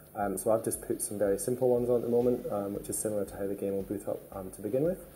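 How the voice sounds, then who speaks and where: A man talks at a very fast pace and a medium pitch. His tone is dark, mellow and somewhat breathy. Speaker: game studio creative director and founder. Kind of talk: gameplay tutorial. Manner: hesitant, many fillers.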